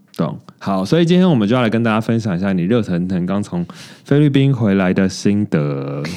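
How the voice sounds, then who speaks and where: Using a plain, everyday voice, a man talks at a fairly quick pace with lively intonation and a fairly low pitch. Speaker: podcast co-host. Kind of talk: casual chat.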